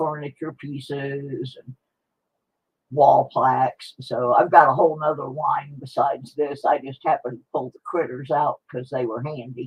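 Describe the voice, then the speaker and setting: Fairly even intonation comes through in a somewhat breathy voice. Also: woman. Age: 60s. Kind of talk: livestream giveaway chat. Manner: casual, rambling.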